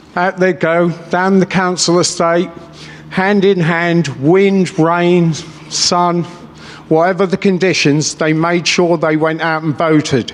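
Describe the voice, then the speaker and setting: Over noticeable background noise, a man talks at a very slow pace in a high pitch with monotone, flat intonation. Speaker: businessman, rally speaker. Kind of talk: political rally speech. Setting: stage with audience. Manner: off the cuff, passionate.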